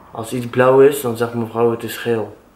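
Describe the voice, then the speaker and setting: A man with a medium pitch talks at a fairly slow pace in a monotone, flat intonation. Light background noise and audible room echo come through. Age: 20s. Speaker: vlogger's boyfriend. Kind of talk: casual chat. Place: home room. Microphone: camera far.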